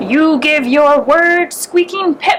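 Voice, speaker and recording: Clear background noise sits behind a woman doing a put-on character voice at a high pitch. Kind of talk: bedtime story. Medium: read story.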